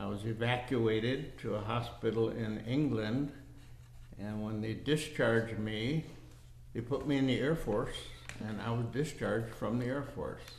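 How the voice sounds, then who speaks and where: The voice is somewhat breathy, with fairly even intonation at a moderate pace. There is audible room echo. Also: man, medium pitch for a man. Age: 80s+. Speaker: war veteran. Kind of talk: oral history interview.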